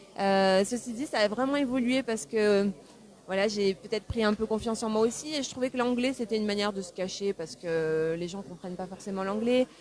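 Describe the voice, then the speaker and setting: There is noticeable background noise behind this woman. She speaks at a fairly quick pace in a medium pitch with ordinary pitch variation. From France (Pau). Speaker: singer. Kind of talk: interview. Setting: newspaper café interview. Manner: hesitant, many fillers.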